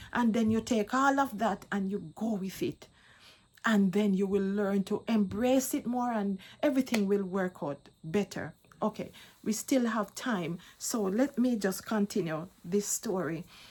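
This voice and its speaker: Somewhat breathy and medium-pitched, a woman speaks at a fairly slow pace with ordinary pitch variation. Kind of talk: testimony. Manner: halting, repeats words.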